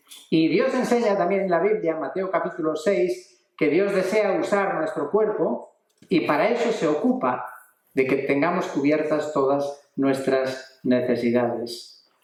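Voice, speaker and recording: Here a man speaks at a fairly high pitch with lively intonation and a fairly slow pace. Audible room echo surrounds him. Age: 60s. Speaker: preacher. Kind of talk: sermon.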